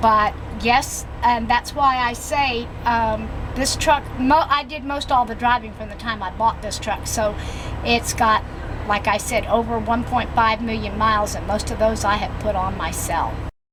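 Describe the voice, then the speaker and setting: Noticeable background noise sits behind this woman's voice. She speaks at a fairly high pitch with fairly even intonation. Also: fairly slow pace. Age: 70s. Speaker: truck driver. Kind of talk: testimony.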